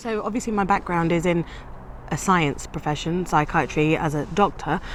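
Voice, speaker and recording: With a British accent, a woman speaks at a fairly low pitch against noticeable background noise. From England, British-born of Punjabi parents. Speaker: psychiatrist and course participant. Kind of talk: testimony.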